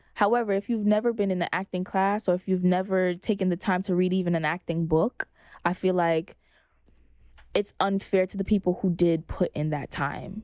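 In a dry, close recording with no echo, a woman speaks at medium pitch with fairly even intonation. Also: moderate pace. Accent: Brooklyn. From Flatbush, Brooklyn, New York. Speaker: actress and entrepreneur. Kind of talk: casual interview. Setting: podcast studio.

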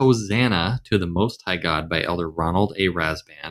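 A man with an American accent, an ordinary speaking voice, lively intonation and a moderate pace. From US South. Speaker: podcast host. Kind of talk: casual discussion.

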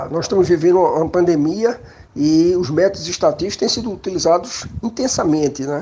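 This man speaks at a high pitch with a dark, mellow tone. His pace is fairly quick and his pitch variation ordinary. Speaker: statistics professor. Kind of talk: interview testimony.

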